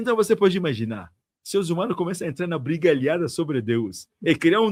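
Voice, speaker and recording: A man speaks with vocal fry and lively intonation. The recording is very clean, with a silent background. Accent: African. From Africa. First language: African language (speaking Portuguese). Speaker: tantric monk. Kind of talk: interview conversation.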